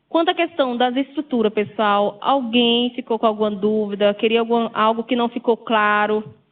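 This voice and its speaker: In a normal speaking voice, a woman talks at a fairly high pitch with ordinary pitch variation. Her pace is fairly slow. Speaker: university lecturer. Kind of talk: lecture.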